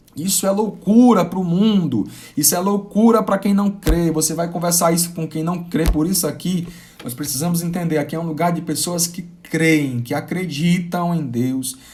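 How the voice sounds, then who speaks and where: With audible room echo around him, a man speaks at a moderate pace in a high pitch with ordinary pitch variation. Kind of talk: live-streamed sermon. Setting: live stream. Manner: halting, with repetitions.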